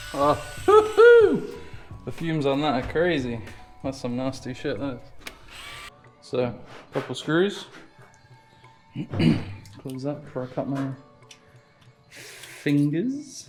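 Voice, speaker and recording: Very slow speech with long, frequent pauses over music in the background. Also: man. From England. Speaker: boat builder. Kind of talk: casual talk to camera.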